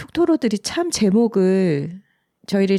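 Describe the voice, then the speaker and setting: The woman's tone is dark and mellow, her pace fairly slow. The sound is dry and close, with no echo. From South Korea, Busan. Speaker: podcast co-host and writer. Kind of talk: casual chat.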